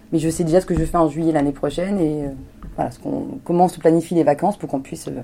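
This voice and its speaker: The speech runs at a very fast pace. Background noise is noticeable. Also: woman. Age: 40s. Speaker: humanitarian aid manager. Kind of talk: interview. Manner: energetic.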